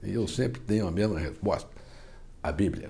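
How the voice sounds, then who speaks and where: A man speaks with vocal fry. His pace is moderate. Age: 60s. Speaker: self-help author. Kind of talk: interview.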